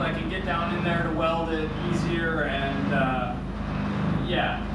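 A man's voice comes through with audible room echo and loud background noise. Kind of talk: casual build vlog explanation. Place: workshop. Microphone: camera far.

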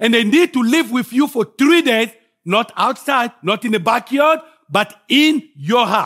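A man with a Congolese accent speaks at a fairly slow pace in an extremely high pitch, his tone bright and sharp. The background is quiet. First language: French. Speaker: guest preacher. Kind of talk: sermon. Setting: church. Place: church.

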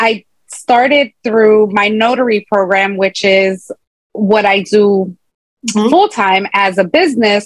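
A woman with an American accent speaks at a fairly slow pace with fairly even intonation, in a dry sound with no echo, with music in the background. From Chicago, US Midwest. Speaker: entrepreneur, author and motivational speaker. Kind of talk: interview. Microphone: video call.

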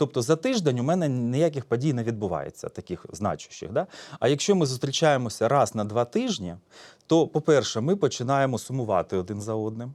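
On a very clean recording with a silent background, a man with a normal speaking voice talks at a fairly quick pace, medium pitch and lively intonation. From eastern Ukraine, Donetsk region (Horlivka). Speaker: psychologist. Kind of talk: public talk. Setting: stage with audience.

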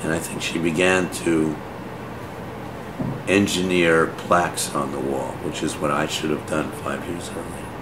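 A man speaks at a fairly slow pace, with long, frequent pauses. His intonation stays monotone and flat. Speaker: painter. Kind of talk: interview answer. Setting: artist's studio.

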